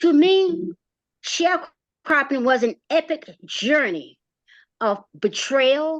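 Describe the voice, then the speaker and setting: A high-pitched woman with an American accent at a very slow pace, her pitch swinging very widely, with a dry, close sound, no echo and a quiet background. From rural North Carolina, US South. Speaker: community organizer and playwright. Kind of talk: personal testimony presentation.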